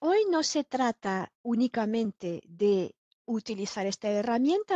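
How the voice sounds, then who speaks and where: Against a quiet background, a woman speaks very slowly with very wide pitch swings in a dry sound with no echo. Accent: French. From France. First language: French (speaking Spanish). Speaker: software trainer; trainer. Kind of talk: online training lecture; lecture. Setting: online webinar. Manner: frequent filler hesitations.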